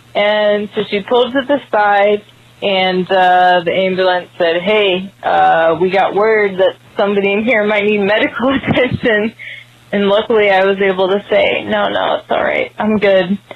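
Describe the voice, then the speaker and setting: There is noticeable background noise as a woman talks in a medium pitch at a moderate pace. Her loudness stays very even and her intonation fairly even. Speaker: caller. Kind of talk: recorded phone story. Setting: phone call. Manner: halting.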